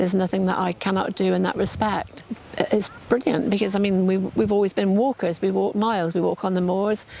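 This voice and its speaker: At a fairly quick pace, a woman speaks at a medium pitch with fairly even intonation over noticeable background noise. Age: 80s+. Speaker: cancer patient. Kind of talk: testimony. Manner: halting, repeats words.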